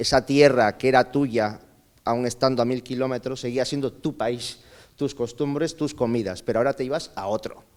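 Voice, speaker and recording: A man talks at a moderate pace in a medium pitch. His intonation stays fairly even. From Peru (north, then Lima), teens in Chile. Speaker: speaker at a migration conference. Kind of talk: conference talk, personal testimony. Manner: halting, with many fillers.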